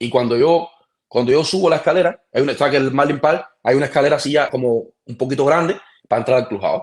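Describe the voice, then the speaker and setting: With a Cuban accent, this voice races along at a very fast pace in an animated tone with ordinary pitch variation. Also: man, fairly high pitch for a man. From Cuba, Mayabeque. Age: 30s. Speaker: professional baseball pitcher. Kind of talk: casual interview chat.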